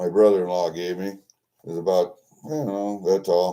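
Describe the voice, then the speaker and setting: A man speaks at a moderate pace. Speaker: coin collector. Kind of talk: casual talk to camera.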